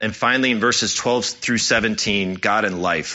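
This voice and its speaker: Speaking at a moderate pace, a man has an unremarkable speaking voice pitched at medium. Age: 30s. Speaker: church elder preaching. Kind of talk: sermon.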